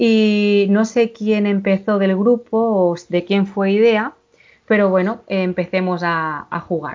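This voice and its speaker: Woman at medium pitch, very slow pace, fairly even intonation. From Catalonia, Girona Pyrenees. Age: 40s. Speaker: paranormal experience witness. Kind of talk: testimony. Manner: halting.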